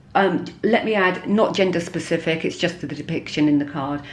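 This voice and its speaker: A woman with a fairly low pitch talks at a moderate tempo, her pitch varying in an ordinary way. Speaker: tarot reader. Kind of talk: tarot reading. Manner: halting.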